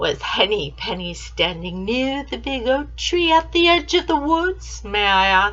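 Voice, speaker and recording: A woman's put-on character voice at a fairly slow pace, with hardly any pauses. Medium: read story. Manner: smooth, sly.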